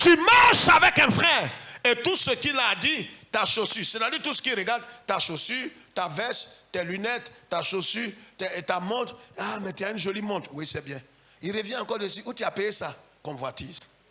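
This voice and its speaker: Over noticeable background noise, a man speaks in an animated tone at a high pitch, with very wide pitch swings and big shifts in loudness. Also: moderate pace. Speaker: pastor. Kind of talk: sermon.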